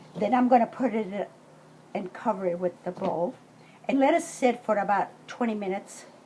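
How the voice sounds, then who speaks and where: A woman speaks at a moderate pace with a medium pitch and ordinary pitch variation. Noticeable background noise runs underneath. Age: 60s. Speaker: home cook. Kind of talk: cooking tutorial. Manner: casual, hesitant with fillers.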